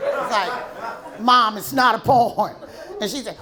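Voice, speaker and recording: Crowd noise and audible room echo surround a woman's voice. She speaks at a fairly slow pace with a high pitch. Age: 60s. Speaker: stand-up comedian. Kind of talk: stand-up. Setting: stage with audience.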